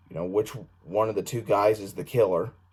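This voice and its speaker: This man's voice sits at a fairly low pitch and is somewhat breathy. His intonation stays fairly even. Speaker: film reviewer. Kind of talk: casual video review. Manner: halting, many fillers.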